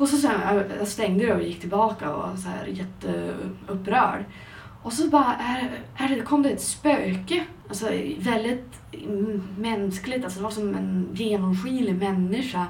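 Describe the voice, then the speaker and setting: A woman talks fairly slowly, with audible room echo and noticeable background noise in the recording. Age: 20s. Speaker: podcast co-host. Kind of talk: casual chat.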